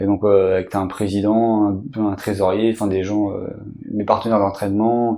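In a very clean recording with a silent background, a man with a dark, mellow tone and fairly low pitch speaks at a moderate pace with fairly even intonation. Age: 30s. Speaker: archer. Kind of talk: interview. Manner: halting.

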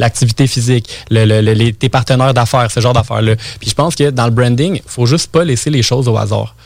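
A man speaks at a medium pitch and a fairly quick pace, somewhat breathy, with very even loudness and fairly even intonation. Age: 20s. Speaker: entrepreneur and marketing guest. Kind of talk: casual interview chat.

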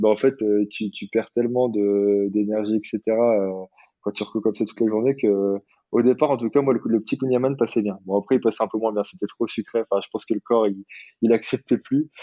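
This man's voice sits at medium pitch with fairly even intonation. He keeps a moderate pace. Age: 30s. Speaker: eco-adventurer and ultra runner. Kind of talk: casual interview. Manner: halting, many fillers.

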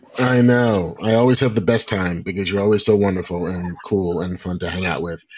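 A man with an American accent, fairly low in pitch, talking at a fairly quick pace over noticeable background noise. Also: ordinary pitch variation, hardly any pauses. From New York. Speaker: comic book and TV writer. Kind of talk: casual conversation interview. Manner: animated.

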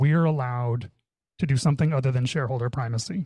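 Speaking at a very fast pace, a man with a medium pitch has a dark, mellow, somewhat breathy tone. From Canada. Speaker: tech executive and workplace consultant. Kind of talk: podcast interview conversation. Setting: video call.

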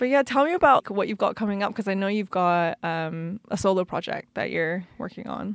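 A woman talks at a fairly quick pace in a normal speaking voice, medium in pitch with lively intonation. The sound is dry and close with no echo, on a very clean recording with a silent background. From Canada. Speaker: podcast host and DJ. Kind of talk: casual interview. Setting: studio.

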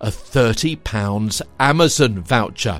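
A man is speaking. His tone is upbeat. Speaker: podcast host. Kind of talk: scripted local news podcast presentation. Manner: formal, upbeat.

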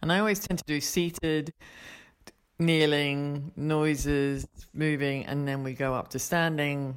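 A woman's very deep, low voice at a fairly slow pace, with fairly even intonation, on a very clean recording with a silent background. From Australia. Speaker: yoga teacher. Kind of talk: casual interview.

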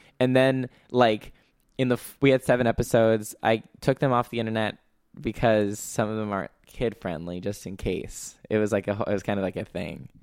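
A man with an American accent speaks at a fairly quick pace in an unremarkable speaking voice, his fairly low pitch showing ordinary variation, on a very clean recording with a silent background and a dry, close sound with no echo. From Los Angeles. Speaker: improv comedian. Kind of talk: casual chat.

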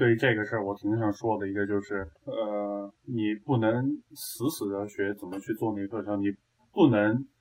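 At a moderate pace comes an ordinary speaking voice. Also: man. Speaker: university student.

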